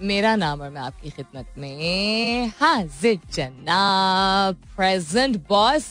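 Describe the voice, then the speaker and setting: Music plays behind a woman whose intonation is lively and whose loudness swings widely. She speaks with hardly any pauses. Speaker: radio host. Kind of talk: radio morning show chat. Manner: chatty, code-switching Urdu and English.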